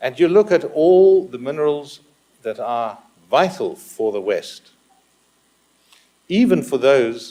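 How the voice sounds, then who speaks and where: This speaker has a South African accent and a dark, mellow tone, with very wide pitch swings. The pace is very slow, broken by long, frequent pauses. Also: man, high pitch for a man. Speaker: business executive, conference speaker. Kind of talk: conference presentation.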